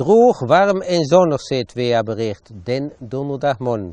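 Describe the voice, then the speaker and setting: A man with an Achterhoek accent and a dark, mellow tone, his pitch swinging very widely, in a dry sound with no echo and a quiet background. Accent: Winterswijk dialect (Achterhoek Low Saxon). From Achterhoek, eastern Gelderland. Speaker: local author and storyteller. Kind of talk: dialect short story reading. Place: garden. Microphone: lapel.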